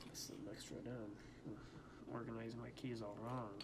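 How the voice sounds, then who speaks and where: A man talks in a monotone, flat intonation. Audible room echo and noticeable background noise surround his voice. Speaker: ASMR creator. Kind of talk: ASMR tutorial with light talking. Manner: quiet talking, not whispering; a little loud at times.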